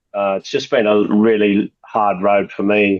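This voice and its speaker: The speaker is a man. His pitch is fairly low. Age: 60s. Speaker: workshop attendee, martial arts practitioner. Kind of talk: casual Q&A in live workshop. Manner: halting.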